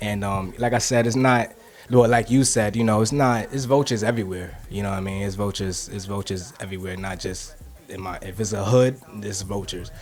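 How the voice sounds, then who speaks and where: Over music in the background, a man talks at a fairly quick pace in a fairly low pitch, with fairly even intonation and big swings in loudness. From Harlem, New York City. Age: 20s. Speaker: rapper. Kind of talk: interview. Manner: halting, many fillers and repetitions.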